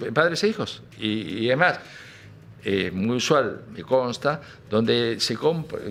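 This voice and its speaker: With an Argentine accent, a man speaks at a medium pitch with lively intonation. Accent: Argentine Spanish (Rioplatense). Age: 70s. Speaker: music industry businessman. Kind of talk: interview. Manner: hesitant, many fillers.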